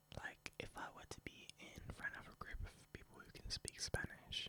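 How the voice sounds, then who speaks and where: A man is whispering. He goes at a moderate pace. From Spain. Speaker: ASMR youtuber. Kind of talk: ASMR rambling. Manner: soft-spoken; halting.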